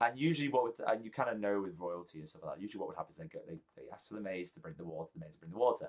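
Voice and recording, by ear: Delivered at a very fast pace, the voice has a slightly mellow tone and ordinary pitch variation. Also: man, low pitch for a man.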